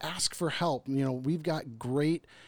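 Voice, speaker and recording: A man with a plain, everyday voice speaks at a moderate pace. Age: 30s. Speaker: podcast host. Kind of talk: casual chat. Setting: studio.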